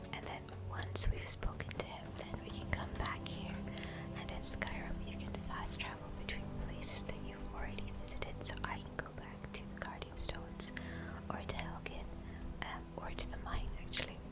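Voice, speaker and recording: Whispering from a woman in a relaxed tone, with noticeable background noise. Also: moderate pace. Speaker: ASMR gaming streamer. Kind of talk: casual gameplay commentary. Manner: soft-spoken, relaxed.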